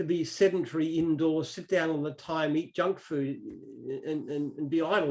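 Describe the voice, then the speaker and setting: This man has an Australian accent and a fairly high pitch. His intonation stays fairly even. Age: 60s. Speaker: business founder. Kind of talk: interview.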